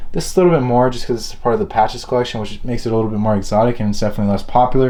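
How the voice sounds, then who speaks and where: Medium-pitched male speech at a very fast pace, ordinary pitch variation, audible room echo. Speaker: luxury product reviewer. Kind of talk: product review. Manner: casual.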